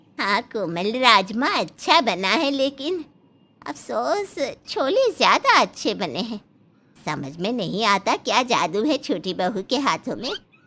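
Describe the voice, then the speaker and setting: A cartoonish character voice with very wide pitch swings. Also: woman, fairly high pitch for a woman, fairly slow pace. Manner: bossy, blunt.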